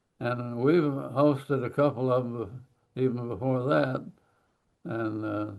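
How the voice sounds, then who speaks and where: A man's very slow delivery with an American accent, medium pitch and fairly even intonation. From Oklahoma. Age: 80s+. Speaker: war veteran. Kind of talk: interview.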